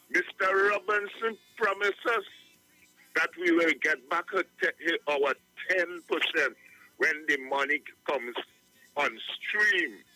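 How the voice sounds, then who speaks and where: A man with a high pitch talks at a fairly slow pace, with long, frequent pauses, ordinary pitch variation and very even loudness, in a dry, close sound with no echo and music in the background. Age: 70s. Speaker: caller. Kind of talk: call-in radio talk.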